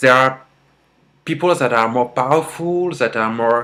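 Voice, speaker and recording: In a strong French accent, a man speaks at a moderate pace and medium pitch with ordinary pitch variation. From France. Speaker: vlogger. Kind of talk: casual vlog monologue. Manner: halting, with repetitions and fillers.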